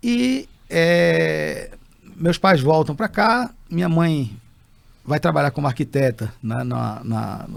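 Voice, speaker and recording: This man's voice has a fairly high pitch. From Brazil (childhood in Algeria). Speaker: entrepreneur. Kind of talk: interview storytelling. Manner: halting with self-corrections.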